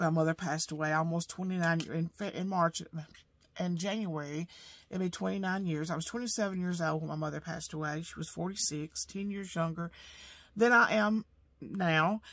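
Against a quiet background, a woman with an Alabama accent speaks at a moderate pace, with a fairly low pitch and fairly even intonation. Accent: Southern US (Alabama). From US South. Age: 50s. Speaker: home sewing business owner and budgeting vlogger; budget vlogger. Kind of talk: casual vlog monologue; casual vlog chat. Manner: halting, many fillers. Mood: calm, reflective. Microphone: camera far.

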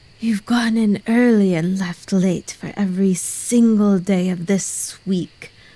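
A woman puts on a character voice, medium in pitch and fairly slow in pace. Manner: hissing.

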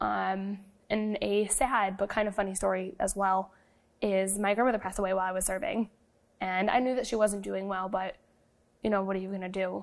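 Over a quiet background, a woman talks fairly quickly in a monotone, flat intonation. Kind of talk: interview answer. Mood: light, storytelling, some rueful humor. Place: studio.

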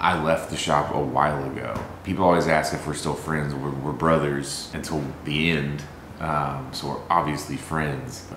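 Over noticeable background noise, a man speaks at a moderate pace in a very deep, low pitch with monotone, flat intonation. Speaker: vlogger. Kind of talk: casual vlog chat. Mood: grieving, somber. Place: kitchen. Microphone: camera far.

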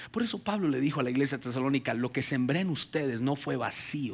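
An animated man at a fairly quick pace with ordinary pitch variation. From Colombia (Ubaté, near Bogotá); Colombia. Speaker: pastor. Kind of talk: sermon. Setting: church with congregation. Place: stage. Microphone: headset.

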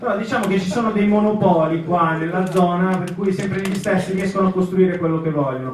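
Over noticeable background noise, a man with a high pitch talks fairly quickly and barely pauses, keeping his intonation fairly even. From northern Italy, Cusano Milanino near Milan. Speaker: member of parliament. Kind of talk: public speech at town square meeting. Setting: outdoor public square with audience.

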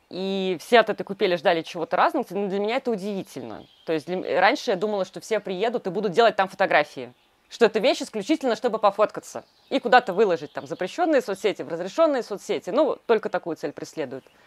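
Talking at a very fast pace, a woman swings her pitch very widely in a dry sound with no echo. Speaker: glamping co-founder. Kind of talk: guided tour. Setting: outdoors. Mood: warm, enthusiastic. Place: garden.

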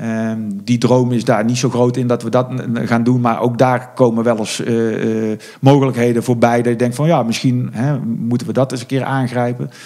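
Monotone, flat intonation at a moderate pace. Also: man, medium pitch for a man. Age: 40s. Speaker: horse event organizer. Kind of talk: interview. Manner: halting.

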